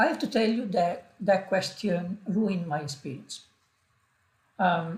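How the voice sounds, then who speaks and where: The speaker talks at a fairly slow pace with a strong non-native accent, leaving long, frequent pauses. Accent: strong foreign. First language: not English. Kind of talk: personal vlog monologue. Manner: halting, many fillers.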